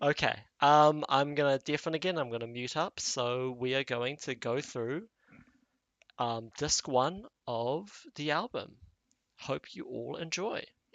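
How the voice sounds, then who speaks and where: Someone with a New Zealand accent speaks at a fairly slow pace, with long, frequent pauses. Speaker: animation series creator. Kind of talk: casual livestream chat.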